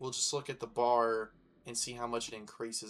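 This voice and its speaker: The speaker is a man whose voice is at a medium pitch. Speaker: gaming youtuber. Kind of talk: gameplay commentary. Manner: casual, filler-heavy.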